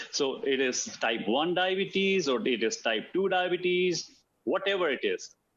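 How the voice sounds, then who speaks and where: A man's high-pitched voice with lively intonation at a fairly slow pace. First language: Hindi. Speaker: alternative medicine practitioner. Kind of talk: talk. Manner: halting, many fillers and repeats.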